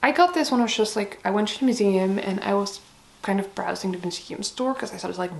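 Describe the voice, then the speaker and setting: A woman's voice at medium pitch, with noticeable background noise. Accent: Dutch. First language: Dutch. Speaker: book vlogger. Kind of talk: casual chat. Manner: casual, hesitant with many fillers.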